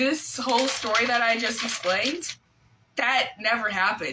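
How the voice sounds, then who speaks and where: Over noticeable background noise, a woman speaks at a fairly slow pace with fairly high pitch and ordinary pitch variation. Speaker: livestreamer. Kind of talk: casual livestream chat, reading own old school story aloud. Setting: live video stream.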